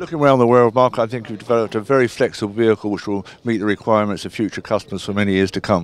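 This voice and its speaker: A man speaks at a very fast pace with hardly any pauses, his fairly low pitch moving with ordinary variation in a dry sound with no echo. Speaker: defence journalist. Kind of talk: trade show interview. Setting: exhibition stand at trade show. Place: street. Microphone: handheld.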